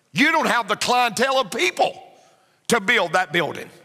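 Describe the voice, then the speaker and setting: A man with a Southern US accent speaks in a raised, projected voice at a moderate pace. His pitch is extremely high and his tone bright and sharp. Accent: Southern US (Georgia). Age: 50s. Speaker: pastor. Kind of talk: sermon.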